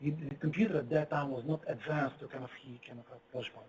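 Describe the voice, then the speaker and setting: A man's voice with a non-native accent. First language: not English. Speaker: physicist. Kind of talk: lecture. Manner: halting.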